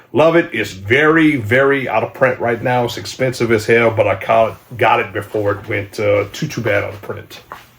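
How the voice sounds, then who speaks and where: With noticeable background noise behind him, a man talks at a moderate pace, with hardly any pauses and ordinary pitch variation. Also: medium pitch for a man. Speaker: channel host, horror movie collector. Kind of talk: casual video review of movie collection. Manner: casual, hesitant with fillers.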